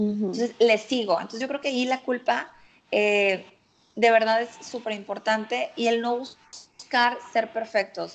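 Speaking fairly slowly, a woman uses a plain, everyday voice pitched fairly high. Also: fairly even intonation. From Mexico, Monterrey. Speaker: nutritionist. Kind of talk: casual chat.

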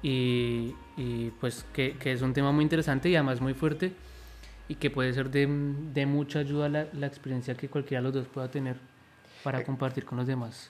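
This man's voice sits at a medium pitch and comes at a moderate pace. His intonation is flat and monotone. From Colombia. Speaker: podcast guest. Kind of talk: casual chat. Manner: halting.

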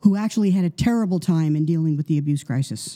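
A woman speaks with an American accent in a very deep, low pitch. Her tone is dark and mellow, and the sound is dry and close with no echo. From US Northeast, New York. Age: 70s. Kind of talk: interview.

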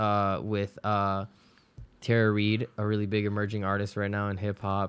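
A man with a Spanish accent and fairly low pitch at a fairly slow pace, in a very clean recording with a silent background. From Florida, West Palm Beach (born Ecuador). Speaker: music producer. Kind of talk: casual interview.

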